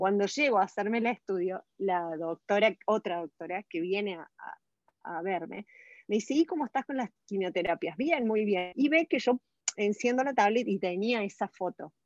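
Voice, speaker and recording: Against a quiet background, a woman with a normal speaking voice talks at a moderate pace in a medium pitch, her intonation lively and her loudness swinging widely, the sound dry and close with no echo. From Argentina. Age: 40s. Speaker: cancer survivor. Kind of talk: interview testimony.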